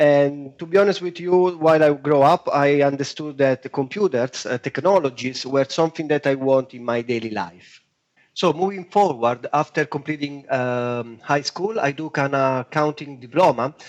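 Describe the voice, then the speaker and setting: A man with a strong Italian accent, fairly high pitch, ordinary pitch variation, moderate pace, hardly any pauses and a dry, close sound with no echo. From Italy, Rome. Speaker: web designer. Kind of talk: podcast interview.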